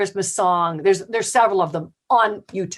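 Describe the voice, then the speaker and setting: A woman with a normal speaking voice in a Canadian accent, medium in pitch, at a fairly quick pace. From Canada, Windsor, Ontario. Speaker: singer-songwriter. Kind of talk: interview.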